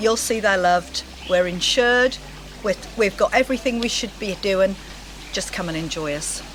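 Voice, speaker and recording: A woman speaks with long, frequent pauses and ordinary pitch variation. Noticeable background noise runs under her voice. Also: medium pitch for a woman, moderate pace. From Norfolk, England. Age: 60s. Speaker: owl keeper. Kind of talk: casual interview.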